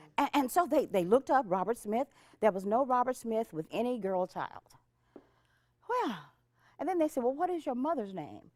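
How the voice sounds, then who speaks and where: In an American accent, a woman speaks at a high pitch with very wide pitch swings and a moderate pace, leaving long, frequent pauses, in a dry, close recording with no echo. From Texas, Dallas. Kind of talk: personal testimony to audience. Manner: animated.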